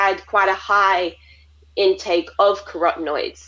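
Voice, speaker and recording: This woman has a normal speaking voice at medium pitch. She talks at a fairly slow pace. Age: 20s. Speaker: dietitian. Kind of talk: interview answer.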